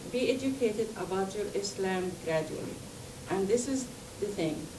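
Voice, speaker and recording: A woman speaks at a fairly slow pace with a fairly high pitch. Room echo is audible, and background noise is noticeable. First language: not English. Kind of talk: talk to an audience. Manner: halting.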